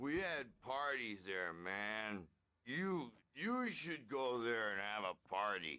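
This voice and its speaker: A man's put-on character voice at medium pitch, with lively intonation, very even loudness and a very slow pace. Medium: video game. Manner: hippie slang, rambling.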